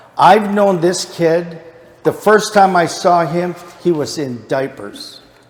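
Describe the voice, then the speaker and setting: Over noticeable background noise, a man speaks very slowly in a high pitch with lively intonation. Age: 60s. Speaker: Bible study teacher. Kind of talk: Bible study lesson.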